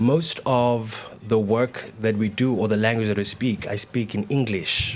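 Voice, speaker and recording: A man with a Zulu accent speaks at a fairly slow pace, his intonation fairly even. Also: medium pitch for a man. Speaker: dancer and choreographer. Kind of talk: panel discussion. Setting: stage with live audience. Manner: halting, many repetitions and fillers.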